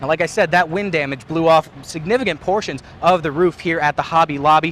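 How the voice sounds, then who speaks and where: With noticeable noise behind him, a man's fairly high voice moves along at a fairly quick clip. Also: ordinary pitch variation. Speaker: TV news reporter. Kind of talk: on-scene news report at storm damage. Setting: outdoors.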